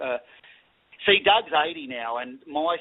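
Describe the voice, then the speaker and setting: This man has a medium pitch and an Australian accent. His intonation stays fairly even. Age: 40s. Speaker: paranormal equipment maker. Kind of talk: radio interview.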